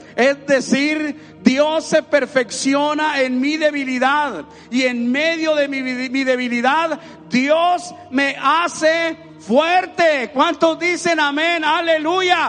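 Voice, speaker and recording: Against noticeable background noise, a man with an extremely high pitch speaks at a very slow pace with fairly even intonation. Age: 60s. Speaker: pastor. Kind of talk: sermon.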